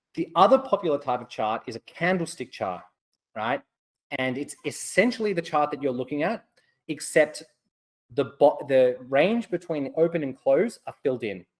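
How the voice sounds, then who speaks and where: With an Australian accent, a man talks at a fairly high pitch, his intonation lively and his loudness swinging widely. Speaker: trading educator. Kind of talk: webinar lecture. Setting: webcast. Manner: fast.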